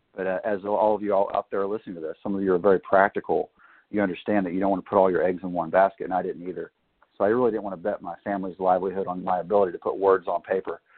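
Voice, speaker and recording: In a Southern US accent, a man talks at a very fast pace. His fairly low voice stays monotone and flat. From Arkansas, US South. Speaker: author and retired military officer. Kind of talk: interview.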